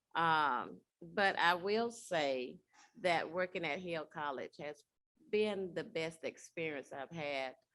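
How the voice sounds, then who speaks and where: A woman with a Southern US accent and fairly low pitch at a very slow pace, in a very clean recording with a silent background. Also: ordinary pitch variation. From Alabama. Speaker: college staff member. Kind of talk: panel interview. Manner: hesitant, many fillers.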